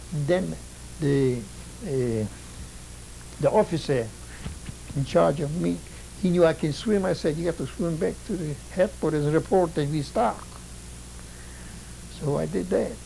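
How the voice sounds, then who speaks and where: A man with a fairly high pitch and lively intonation speaks at a moderate pace, leaving long, frequent pauses, amid noticeable background noise. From Poland. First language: Polish. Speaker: Holocaust survivor. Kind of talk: testimony. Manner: halting.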